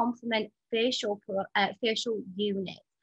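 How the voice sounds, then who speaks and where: Speaking at a moderate pace, a woman uses a fairly high pitch in a dry, close sound with no echo. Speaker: skincare educator presenting a training programme. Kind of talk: online webinar presentation. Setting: online webinar. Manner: animated.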